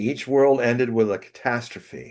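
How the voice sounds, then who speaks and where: A man speaks at a very slow pace and a medium pitch. The background is quiet. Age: 70s. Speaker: prophecy commentator. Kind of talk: interview conversation. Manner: halting.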